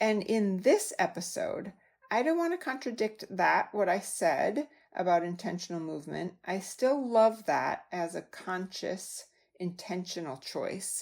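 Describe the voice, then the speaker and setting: In a Wisconsin accent, a woman speaks fairly slowly at a medium pitch with lively intonation on a very clean recording with a silent background. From US Midwest, Wisconsin. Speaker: health coach podcast host. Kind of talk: podcast monologue. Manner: casual, conversational.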